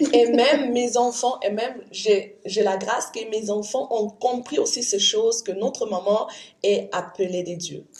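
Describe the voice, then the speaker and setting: A woman talks fairly slowly in a fairly high voice, her pitch varying in an ordinary way. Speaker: interpreter. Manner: halting, with false starts.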